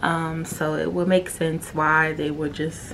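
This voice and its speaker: Moderate pace against noticeable background noise. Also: woman. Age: 20s. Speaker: podcast host. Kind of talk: personal monologue.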